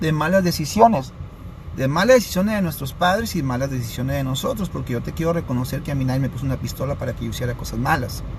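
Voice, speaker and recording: The man's voice swings very widely in pitch, with audible room echo and noticeable background noise. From Sinaloa, Mexico (Los Mochis). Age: 30s. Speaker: addiction prevention speaker. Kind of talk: live stream talk. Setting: live stream.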